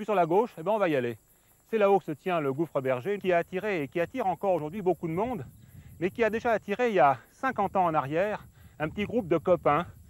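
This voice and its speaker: A man speaks at a very fast pace in a high pitch with lively intonation. The sound is dry and close, with no echo. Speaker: naturalist. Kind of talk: nature documentary narration.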